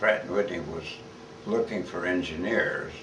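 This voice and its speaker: A man with a US Midwestern accent speaks over noticeable background noise, with audible room echo around him. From Kansas, Wichita. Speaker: war veteran. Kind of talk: oral history interview. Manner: halting.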